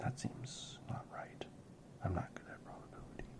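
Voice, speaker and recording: The voice is a whisper. Noticeable background noise runs beneath it. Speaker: ASMR creator playing tabletop RPG. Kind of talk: solo RPG playthrough narration. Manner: whispered.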